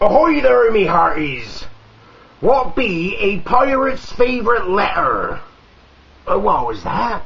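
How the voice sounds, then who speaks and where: A man puts on a character voice with an extremely high pitch. He delivers it at a fairly slow pace. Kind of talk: comedic joke telling in character.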